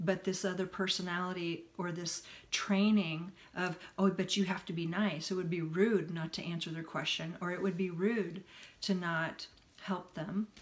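A woman at a moderate pace with monotone, flat intonation. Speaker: self-help vlogger. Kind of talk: casual vlog chat. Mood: earnest, reflective. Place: home room. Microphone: phone near.

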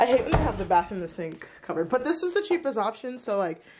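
A woman talks at a very fast pace. There is noticeable background noise behind her. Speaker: student traveler vlogger. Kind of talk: casual vlog chat. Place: home room. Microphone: phone near.

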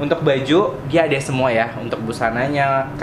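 Against noticeable background noise, a man speaks with ordinary pitch variation. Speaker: travel vlogger. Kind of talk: casual vlog chat. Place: shop. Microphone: phone near.

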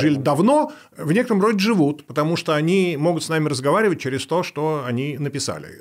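The background is quiet. A man talks at a fairly quick pace. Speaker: guest. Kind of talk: interview answer. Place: studio. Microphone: studio mic.

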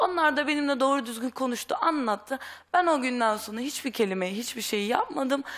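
Fairly quick and lively in intonation, a woman talks. Her pitch is high. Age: young. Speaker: runaway daughter; talk show guest. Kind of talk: testimony. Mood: upset, earnest. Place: studio. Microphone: headset.

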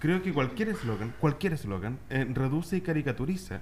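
A somewhat breathy male voice with very wide pitch swings at a moderate pace, over light background noise. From Chile, Valparaíso; Chile. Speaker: radio talk show host. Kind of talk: panel discussion. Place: studio. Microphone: studio mic.

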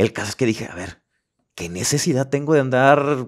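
Against a quiet background, a man speaks with a fairly high pitch. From Mexico, Los Mochis, Sinaloa; Sinaloa, Mexico. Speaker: podcast host and life coach; podcast guest. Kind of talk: casual interview chat; interview answer. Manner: repeats words, halting. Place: studio. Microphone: studio mic.

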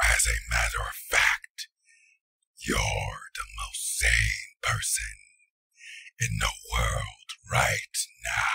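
A man speaks in a raspy, put-on character voice. His pace is very slow, with long, frequent pauses. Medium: dub. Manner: ominous, calm.

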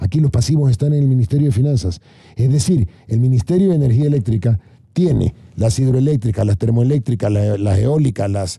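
Against a quiet background, the voice has a dark, mellow tone, is somewhat breathy, and moves at a fairly quick pace with lively intonation and very even loudness. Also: man, medium pitch for a man. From Ecuador, Guayaquil; Ecuador. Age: 60s. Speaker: government adviser; guest. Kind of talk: panel debate. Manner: animated. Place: studio. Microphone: studio mic.

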